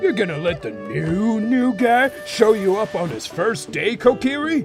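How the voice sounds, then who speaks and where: A man's put-on character voice, high-pitched and at a moderate pace, over clear music in the background. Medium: machinima. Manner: folksy, easygoing.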